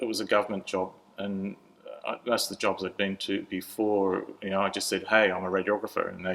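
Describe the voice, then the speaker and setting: With an Australian accent, a man talks at a moderate pace in a monotone, flat intonation. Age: 60s. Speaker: churchgoer sharing life story. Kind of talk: interview testimony. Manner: halting.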